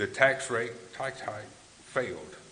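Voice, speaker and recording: A man speaks with an American accent. Audible room echo and noticeable background noise surround him. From West Tennessee. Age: 60s. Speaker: political candidate. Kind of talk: candidate forum speech. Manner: halting.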